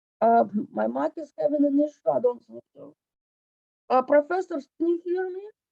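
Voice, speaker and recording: A woman talks at a moderate pace with long, frequent pauses and big swings in loudness, in a dry, close sound with no echo. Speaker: instructor. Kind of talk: lecture. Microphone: distorted, muffled PC mic.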